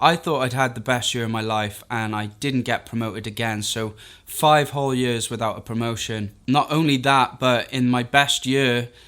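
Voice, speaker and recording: A man with a Welsh accent speaks at a moderate pace in a medium pitch, with hardly any pauses and fairly even intonation. The recording is very clean, with a silent background. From Wales. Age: 30s. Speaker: freelance video editor, YouTuber. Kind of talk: personal story monologue to camera.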